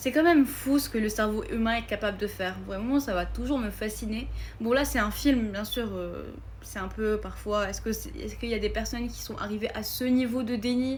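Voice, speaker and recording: A woman speaks at a moderate pace with a non-native accent. Audible room echo surrounds her voice. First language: not French (speaking French). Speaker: film content creator. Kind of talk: casual vlog. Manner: hesitant, many fillers.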